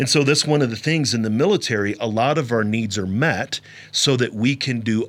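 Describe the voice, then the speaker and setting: A plain, everyday voice with an American accent, ordinary pitch variation and a fairly quick pace. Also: man. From US Midwest (St. Louis, Missouri). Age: 40s. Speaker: podcast host, army veteran and mental health counselor. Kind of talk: solo podcast monologue.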